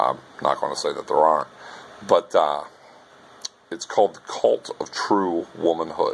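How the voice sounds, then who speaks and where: Noticeable background noise fills the clip. Through it, a man speaks at a moderate pace. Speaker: university lecturer. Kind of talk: recorded lecture. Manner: talks like a preacher; casual, many filler words.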